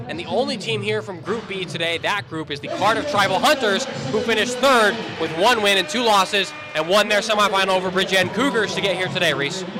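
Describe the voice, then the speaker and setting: A man with an American accent talks at a very fast pace in a raised, projected voice with a high pitch. His intonation is lively, and music plays in the background. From Utah, US. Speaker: basketball commentator. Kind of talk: live sports commentary. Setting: commentary booth at a live game.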